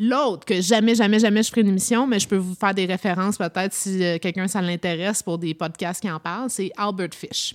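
With a plain, everyday voice, a woman speaks at a medium pitch and a fairly quick pace, with hardly any pauses and fairly even intonation. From Toronto, Canada. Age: 40s. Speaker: podcast host. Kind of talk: casual chat.

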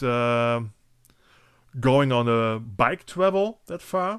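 In a very clean recording with a silent background, a man with a German accent speaks at a very slow pace with ordinary pitch variation. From western Germany (Eifel). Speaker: podcast host. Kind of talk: casual interview.

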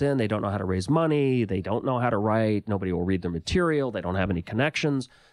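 A man's ordinary speaking voice with an American accent, fairly quick and lively in intonation, in a very clean recording with a silent background. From US, Los Angeles. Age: 40s. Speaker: filmmaker and author. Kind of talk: interview.

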